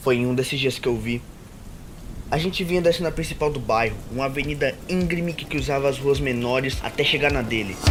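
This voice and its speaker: Music plays behind a man speaking at a fairly quick pace. His pitch is fairly high, with ordinary variation. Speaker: voice actor / narrator of original anime-style stories. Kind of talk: first-person story narration, confessional tone. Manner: soft-spoken, relaxing.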